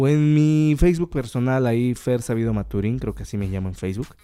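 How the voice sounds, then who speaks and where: A dark, mellow tone carries ordinary pitch variation. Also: man. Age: 20s. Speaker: podcast host, drummer. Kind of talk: casual monologue.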